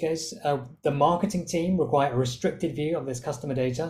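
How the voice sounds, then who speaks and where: This man's delivery is fairly quick. The pitch shifts about as much as usual. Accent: British. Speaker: software product specialist. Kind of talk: product demo presentation.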